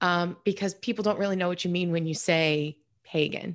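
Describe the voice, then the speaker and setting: A woman's normal speaking voice, medium in pitch with ordinary pitch variation, over a quiet background. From New York. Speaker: author and practicing pagan. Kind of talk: interview.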